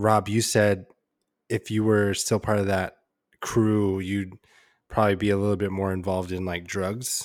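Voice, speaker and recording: Spoken with an American accent, the delivery is monotone and flat. The recording is very clean, with a silent background. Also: man, fairly low pitch for a man, moderate pace. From San Diego, California. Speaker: nurse and podcast co-host. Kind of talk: casual chat. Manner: loud.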